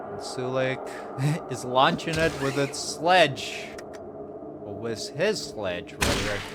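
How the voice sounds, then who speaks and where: With lively intonation, a man speaks very slowly and leaves long, frequent pauses, against noticeable background noise and audible room echo. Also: medium pitch for a man, big swings in loudness. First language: not English. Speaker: gaming youtuber. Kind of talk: let's play commentary. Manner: casual, with filler words.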